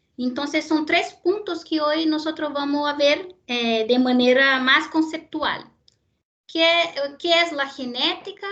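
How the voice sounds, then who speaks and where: A woman speaks at a fairly slow pace with ordinary pitch variation in a Brazilian accent. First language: Portuguese (speaking Spanish). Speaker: university lecturer in genetics. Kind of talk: lecture. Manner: hesitant, with fillers and repetitions.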